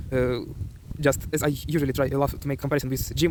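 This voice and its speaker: A man with a Ukrainian accent talks at a very fast pace in a fairly high pitch. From Ukraine. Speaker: self-improvement vlogger. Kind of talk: motivational vlog. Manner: hesitant.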